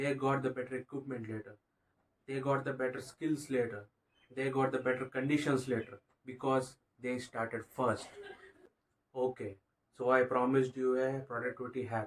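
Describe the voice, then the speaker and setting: Speaking with a non-native accent, a man talks at a medium pitch and moderate pace in a monotone, flat intonation, with long, frequent pauses. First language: not English. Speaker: motivational YouTuber. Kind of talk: motivational talk to camera. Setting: bedroom, sitting on bed. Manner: halting, stumbling over words.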